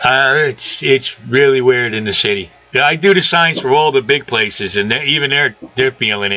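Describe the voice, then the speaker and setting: Hardly pausing at all, a man speaks at a moderate pace with ordinary pitch variation over noticeable background noise. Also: medium pitch for a man. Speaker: sign maker and aquarium hobbyist. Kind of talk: casual chat. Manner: loud.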